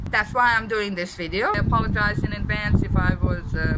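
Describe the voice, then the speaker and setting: Noticeable background noise and audible room echo fill the recording. A woman talks at a fairly quick pace. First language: Serbian. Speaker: deaf vlogger. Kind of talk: vlog monologue. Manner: halting, many fillers.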